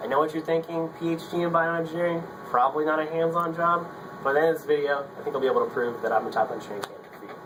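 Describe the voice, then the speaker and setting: Noticeable background noise sits under this recording. A man speaks at a very fast pace with a fairly high pitch. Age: 20s. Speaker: engineering graduate student. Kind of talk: casting video pitch. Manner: casual, upbeat.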